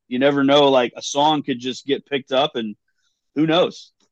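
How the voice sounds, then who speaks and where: With a West Texas accent, a man talks at a moderate pace at a fairly high pitch. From West Texas (Big Spring). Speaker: drummer. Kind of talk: casual interview. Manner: halting, repeats words.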